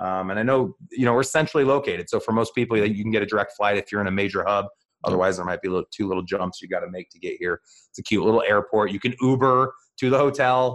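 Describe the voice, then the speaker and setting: Speaking very fast, a man uses ordinary pitch variation. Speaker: real estate team leader and podcast host. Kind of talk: casual interview chat. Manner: fast talker.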